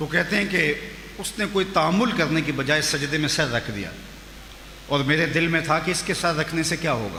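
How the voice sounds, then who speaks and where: Over noticeable background noise, a man speaks with a fairly high pitch and ordinary pitch variation. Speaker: Islamic preacher / religious scholar. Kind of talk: Islamic sermon (bayan) at a shrine. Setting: large public gathering at a shrine. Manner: emotional, passionate oratory.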